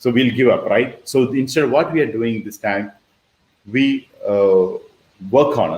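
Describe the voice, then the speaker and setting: A man is speaking. His pitch sits in the middle range. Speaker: online business mentor. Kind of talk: webinar presentation. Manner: fast.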